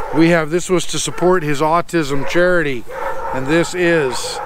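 The intonation stays flat and monotone throughout. Noticeable background noise sits under a dry sound with no echo. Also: man. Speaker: motorcycle vlogger. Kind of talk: casual vlog chat. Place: open country.

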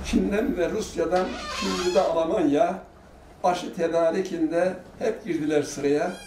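A high-pitched male voice at a fairly slow pace, with ordinary pitch variation, over noticeable background noise. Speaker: elderly poet reciting. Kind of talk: poetry reading. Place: home room.

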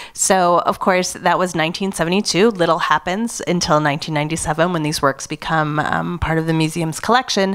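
In an unremarkable speaking voice, a woman with a fairly low pitch talks at a fairly slow pace with fairly even intonation and hardly any pauses, against a quiet background. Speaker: museum curator and moderator. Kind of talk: panel discussion. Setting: stage with audience. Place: hall. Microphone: handheld.

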